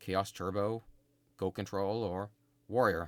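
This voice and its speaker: This man talks at a fairly slow pace in a monotone with flat intonation. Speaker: gaming YouTuber. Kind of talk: gameplay commentary. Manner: halting.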